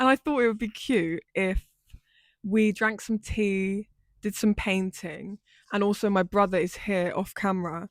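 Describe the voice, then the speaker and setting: A woman with an ordinary speaking voice, medium in pitch, fairly even in intonation, at a fairly slow pace, in a dry, close sound with no echo on a very clean recording with a silent background. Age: 20s. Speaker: lifestyle YouTuber. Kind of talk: casual chat.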